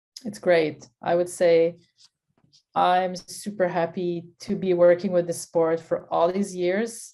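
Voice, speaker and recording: A woman with a Quebec accent speaks at a very slow pace and a fairly low pitch. Her tone is dark and mellow, her intonation fairly even. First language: French. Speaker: sports nutritionist. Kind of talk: interview.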